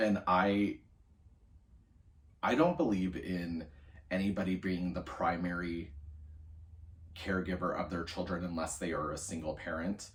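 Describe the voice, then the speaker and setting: At a fairly slow pace, a man speaks in a very deep, low pitch that is somewhat breathy, with fairly even intonation and long, frequent pauses. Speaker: college student. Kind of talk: video journal entry, casual monologue. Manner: casual, many fillers.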